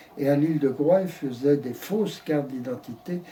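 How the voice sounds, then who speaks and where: A man's fairly high, somewhat breathy voice, dark and mellow in tone, with ordinary pitch variation. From Brittany, France. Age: 80s+. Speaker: elderly man recounting his life. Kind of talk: interview. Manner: halting.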